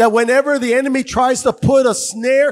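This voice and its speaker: Here a man speaks at an extremely high pitch. His tone is animated. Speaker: pastor. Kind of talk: sermon. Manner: animated, loud, call-and-response exhortation; fervent, punchy, repeating phrases. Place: church. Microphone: handheld.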